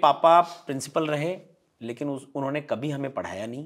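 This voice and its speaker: A man's fairly high voice at a moderate pace with ordinary pitch variation, over a quiet background. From Rajasthan. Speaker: stage anchor and motivational speaker; stage anchor, motivational speaker. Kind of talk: interview conversation. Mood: relaxed, smiling storytelling. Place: home room. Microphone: lapel.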